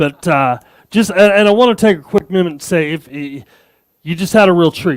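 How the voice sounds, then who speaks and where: A man with an American accent talks at a moderate pace with ordinary pitch variation. The recording is very clean, and the background is silent. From Arizona, US. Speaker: tech conference speaker. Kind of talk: keynote talk. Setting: stage with audience. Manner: animated.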